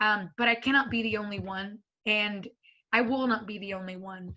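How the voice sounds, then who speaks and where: A woman speaks in a Spanish accent with a bright, sharp tone, fairly high pitch and monotone, flat intonation. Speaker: school board member. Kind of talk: panel talk.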